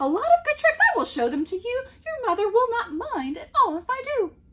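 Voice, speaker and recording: A woman puts on a squeaky character voice at an extremely high pitch, with very wide pitch swings. Her pace is fairly quick. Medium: read story. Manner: playful, showy.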